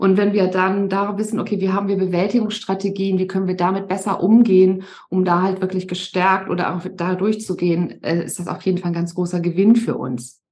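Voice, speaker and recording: A woman talks at a medium pitch and a fairly quick pace, with hardly any pauses and fairly even intonation. It is a normal speaking voice. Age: 50s. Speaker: resilience coach. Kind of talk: podcast interview.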